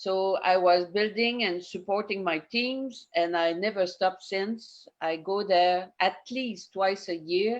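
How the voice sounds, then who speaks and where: The speaker goes at a very slow pace. Pitch variation is ordinary. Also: woman. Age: 70s. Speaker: network marketing distributor. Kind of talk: testimony. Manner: halting.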